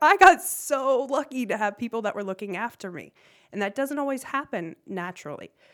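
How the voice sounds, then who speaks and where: A woman with an American accent and lively intonation at a moderate pace, on a very clean recording with a silent background. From US Midwest. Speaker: nonprofit founder and CEO. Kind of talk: interview. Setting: studio.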